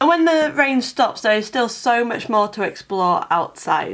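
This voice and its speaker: At a fairly slow pace, a woman with a fairly high pitch and lively intonation talks in an ordinary speaking voice. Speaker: travel vlogger. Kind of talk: travel video voiceover.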